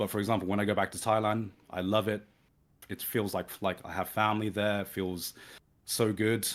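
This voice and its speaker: A man in a southern English accent at fairly low pitch and a fairly quick pace, with monotone, flat intonation, in a very clean recording with a silent background. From southern England, Brighton. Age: 30s. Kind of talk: casual chat. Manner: halting.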